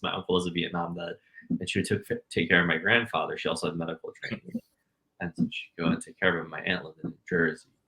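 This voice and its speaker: A man's put-on character voice, very deep and low, mumbling at a very fast pace with big swings in loudness. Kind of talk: conversational. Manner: mumbling, fast.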